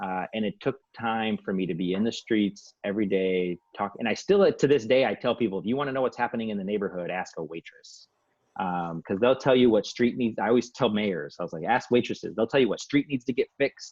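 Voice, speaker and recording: A man's medium-pitched voice, fairly quick in pace, with ordinary pitch variation. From Saginaw, Michigan (born in Bolivia, moved at seven). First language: Spanish. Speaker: community nonprofit director. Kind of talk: panel discussion. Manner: casual, many fillers.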